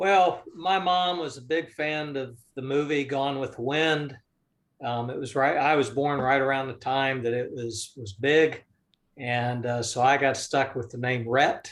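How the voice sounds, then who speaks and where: A man with a Southern US accent, fairly high in pitch, at a fairly slow pace. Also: ordinary pitch variation. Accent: Southern US, mild. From US South, North Florida. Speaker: business investor. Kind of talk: interview.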